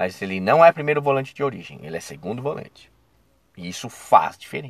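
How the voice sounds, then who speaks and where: A man with a medium-pitched, animated voice speaks at a fairly quick pace, his pitch swinging very widely and his loudness rising and falling sharply. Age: 40s. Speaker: football commentator podcaster. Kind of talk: casual solo commentary. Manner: animated, conversational.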